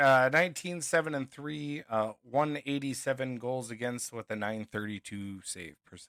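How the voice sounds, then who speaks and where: At a moderate pace and with hardly any pauses, a man talks at medium pitch with ordinary pitch variation and big swings in loudness, his bright, sharp tone captured in a dry, close sound with no echo on a very clean recording with a silent background. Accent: Minnesotan. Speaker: sports podcast co-host. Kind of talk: casual sports chat.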